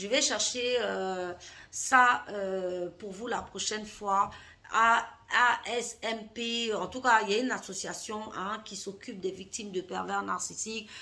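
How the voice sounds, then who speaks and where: A woman speaks very slowly in a fairly high voice, her intonation fairly even while her loudness swings widely. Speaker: life coach. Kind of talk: vlog monologue. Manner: hesitant, with fillers.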